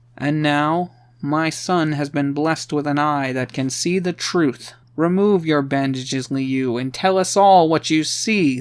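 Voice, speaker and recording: A man speaks at a moderate pace in a put-on character voice with a fairly high pitch. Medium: read story. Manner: commanding, grandiose.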